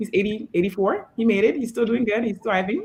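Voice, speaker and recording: A woman at a very fast pace. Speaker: fitness trainer. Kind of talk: interview.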